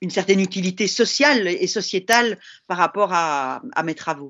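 A woman's ordinary speaking voice, medium in pitch, with ordinary pitch variation and a moderate pace. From Belgium. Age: 50s. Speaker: linguistics professor. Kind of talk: casual chat.

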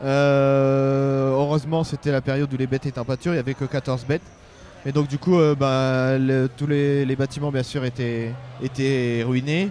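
Noticeable background noise sits behind a man's fairly high voice. He speaks at a fairly slow pace, monotone and flat. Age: 30s. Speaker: livestock and crop farmer. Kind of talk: interview. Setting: busy trade fair stand. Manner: halting.

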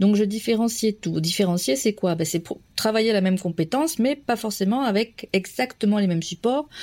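A woman at a moderate pace and medium pitch, with lively intonation. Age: 30s. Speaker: primary school teacher. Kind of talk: testimony. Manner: halting.

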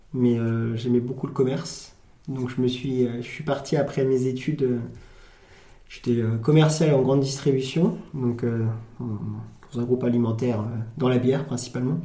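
A man with a medium-pitched, somewhat breathy voice of dark, mellow tone speaks fairly slowly with fairly even intonation, and room echo is audible. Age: 20s. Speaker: farm shop owner. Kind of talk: casual interview.

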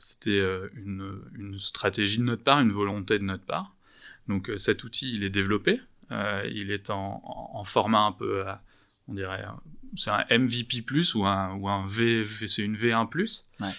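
Heard in a very clean recording with a silent background, a man speaks at a very slow pace. His fairly low voice has a bright, sharp tone and fairly even intonation. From France, Bordeaux. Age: 30s. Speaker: startup founder in commercial real estate. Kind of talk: interview. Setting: office.

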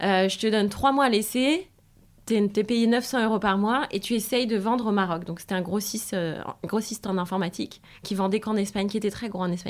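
Using an unremarkable speaking voice, a woman talks at a medium pitch and a fairly quick pace with ordinary pitch variation. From France. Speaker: sales entrepreneur. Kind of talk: interview.

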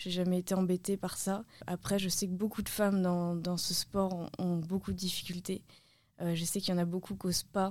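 Monotone, flat intonation in a very clean recording with a silent background. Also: woman, medium pitch for a woman, moderate pace. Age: 20s. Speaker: parkour and freerunning athlete. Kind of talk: casual interview. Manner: hesitant, with repetitions.

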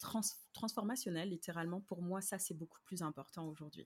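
At a moderate pace, a woman speaks in a normal speaking voice with a medium pitch and ordinary pitch variation. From France, Paris. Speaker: slow-living business coach and podcaster. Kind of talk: interview conversation.

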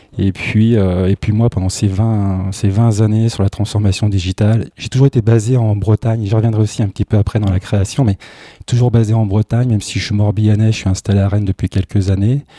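A man with a dark, mellow tone talks fairly quickly in a monotone, flat delivery, captured with a dry, close sound with no echo in a very clean recording with a silent background. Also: fairly low pitch for a man. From Brittany. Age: 40s. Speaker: tech entrepreneur. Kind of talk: interview. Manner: halting.

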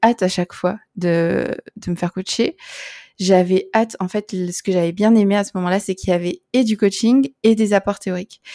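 At a fairly slow pace, a woman with a dark, mellow tone and medium pitch speaks with ordinary pitch variation, the sound dry and close with no echo. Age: 30s. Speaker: coach. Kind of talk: testimony.

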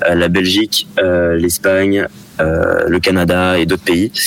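Noticeable background noise runs under the speech. The intonation is monotone and flat. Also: man. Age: 20s. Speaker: product manager at a sports retailer. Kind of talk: radio interview.

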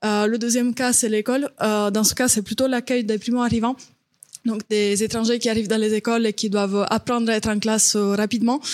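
A woman speaks at a fairly high pitch and a fairly quick pace. Her intonation stays monotone and flat. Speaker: startup founder. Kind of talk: panel discussion.

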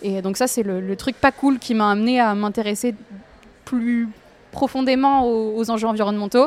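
A woman speaks with a slight southern French accent and a fairly high pitch. Her pace is fairly quick. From southern France, near an industrial lagoon. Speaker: environmental campaigner. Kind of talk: casual interview. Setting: café.

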